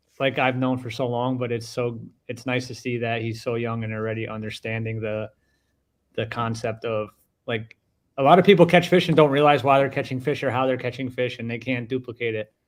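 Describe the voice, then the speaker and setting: A man with a normal speaking voice and an American accent, medium in pitch, at a fairly quick pace with fairly even intonation, on a very clean recording with a silent background. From northern New Jersey. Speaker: tournament bass angler. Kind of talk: casual livestream interview.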